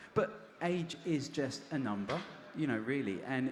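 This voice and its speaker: With audible room echo, a man speaks at a fairly slow pace and with lively intonation. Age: 40s. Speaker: cancer survivor and cyclist. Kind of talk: interview on stage. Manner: halting.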